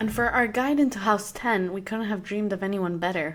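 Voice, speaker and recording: A woman speaks with an Arabic accent. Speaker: podcast host. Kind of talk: podcast introduction.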